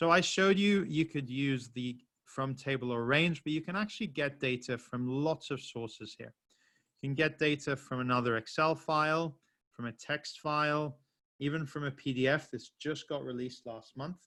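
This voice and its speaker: A man's fairly high, bright, sharp voice at a moderate pace, with ordinary pitch variation and a quiet background. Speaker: software trainer. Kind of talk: webinar tutorial. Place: home room.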